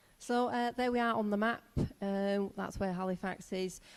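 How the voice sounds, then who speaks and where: A woman with a Yorkshire accent, medium in pitch, fairly even in intonation and moderate in pace, on a very clean recording with a silent background. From northern England, Yorkshire. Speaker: teacher. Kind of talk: presentation. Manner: hesitant, many fillers.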